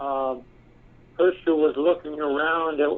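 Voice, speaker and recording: A man's fairly high voice with an American accent. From US West Coast. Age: 70s. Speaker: research company president, engineer. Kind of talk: interview. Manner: halting, many fillers.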